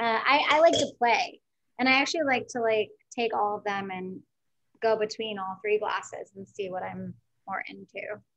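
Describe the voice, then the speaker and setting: A woman's fairly high voice at a moderate pace, with ordinary pitch variation and big swings in loudness. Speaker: wine event host. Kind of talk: virtual wine tasting. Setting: video call. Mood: relaxed, cheerful. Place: home room. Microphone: video call.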